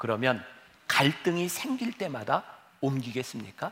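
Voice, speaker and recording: In an animated tone, a man speaks at a fairly slow pace with very wide pitch swings. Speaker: senior pastor. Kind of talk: sermon.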